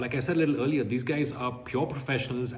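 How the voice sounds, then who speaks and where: Noticeable background noise sits under a man whose voice is at a medium pitch. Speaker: DJ and radio host. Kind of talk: interview answer. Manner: upbeat, energetic.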